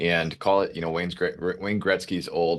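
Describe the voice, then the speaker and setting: Against a quiet background, a man with a Minnesotan accent speaks at a fairly quick pace in a very deep, low pitch with monotone, flat intonation. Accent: Minnesota. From US Midwest, Minnesota. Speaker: telecom channel sales executive. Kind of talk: panel discussion. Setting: online video call.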